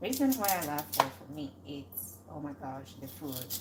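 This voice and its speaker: A woman mumbles. Noticeable background noise runs underneath. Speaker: cooking channel host. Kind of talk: casual live cooking chat. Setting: home kitchen. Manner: mumbling.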